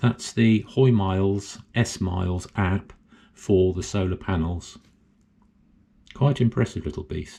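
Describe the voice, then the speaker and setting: A man with an English accent, fairly low in pitch, very slow, with long, frequent pauses and ordinary pitch variation. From England. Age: 70s. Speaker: solar hobbyist YouTuber. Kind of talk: tutorial. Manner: casual, hesitant with fillers.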